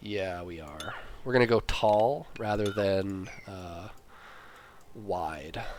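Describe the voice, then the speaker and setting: A man speaks at a very slow pace with long, frequent pauses and audible room echo. His fairly low voice has ordinary pitch variation and big swings in loudness. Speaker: gaming video creator. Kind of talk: let's play commentary. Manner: halting, thinking aloud.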